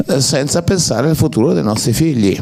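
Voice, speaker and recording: A man speaks with very wide swings in pitch. His pace is moderate. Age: 60s. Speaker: actor. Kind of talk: public Q&A talk. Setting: cinema with audience.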